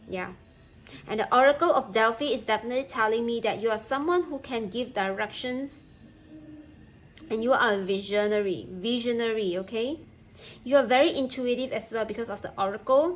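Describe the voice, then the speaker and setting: Speaking at a fairly quick pace but with long, frequent pauses, a woman uses a fairly high pitch and ordinary pitch variation. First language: not English. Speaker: tarot reader. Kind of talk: tarot reading. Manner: halting.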